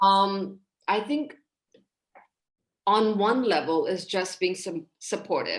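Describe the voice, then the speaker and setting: Very slow pace, long, frequent pauses, and ordinary pitch variation. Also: woman, medium pitch for a woman. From Hong Kong, Indian family. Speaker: trauma and relationship counselor. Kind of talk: podcast interview.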